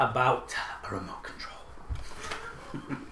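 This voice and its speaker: A man with a British accent speaks against noticeable background noise. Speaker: podcast co-host. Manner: joking, animated.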